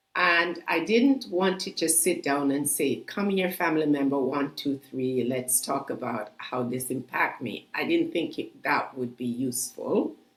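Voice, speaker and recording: With lively intonation, a woman with a very deep, low voice talks at a fairly slow pace as noticeable background noise carries on behind her. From Canada. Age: 60s. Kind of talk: podcast interview. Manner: halting.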